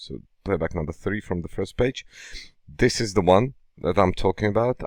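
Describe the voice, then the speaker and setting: A man does a put-on character voice, raspy and fairly low, at a fairly quick pace. The sound is dry and close with no echo. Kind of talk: instructional, software demo.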